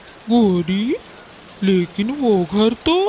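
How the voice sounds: A cartoonish character voice, female-sounding and fairly high, plays against clear background noise.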